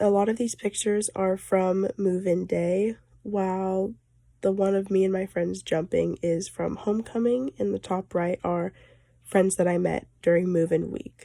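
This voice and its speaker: At a fairly slow pace, a woman with an American accent speaks at medium pitch in a dark, mellow tone, her intonation fairly even. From US West, northern California (Ukiah). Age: young. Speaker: college student. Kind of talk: class presentation.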